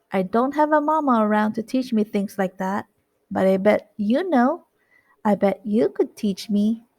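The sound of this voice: Lively intonation runs through an unforced reading voice. Nothing can be heard behind it.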